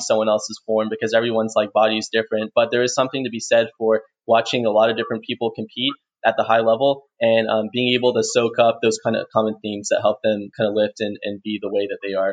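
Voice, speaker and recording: Words come from a man at a very fast pace. His pitch is medium. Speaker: podcast host. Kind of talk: casual interview. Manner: halting, many fillers.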